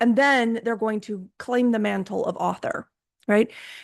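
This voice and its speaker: A woman has an ordinary speaking voice at a fairly high pitch, with fairly even intonation. She talks at a moderate pace against a quiet background. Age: 50s. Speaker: podcast host. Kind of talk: podcast interview.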